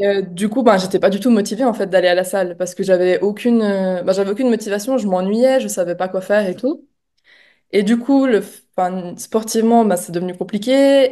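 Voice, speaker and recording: Against a quiet background, a woman speaks at a fairly quick pace with a medium pitch and ordinary pitch variation. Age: 20s. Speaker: coaching client giving testimonial. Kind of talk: testimony interview. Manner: hesitant, many fillers.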